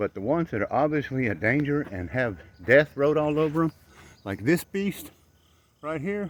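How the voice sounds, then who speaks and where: A man's animated voice, fairly high in pitch, at a moderate pace with long, frequent pauses. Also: lively intonation. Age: 60s. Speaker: tree worker and vlogger. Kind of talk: vlog monologue. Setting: outdoors.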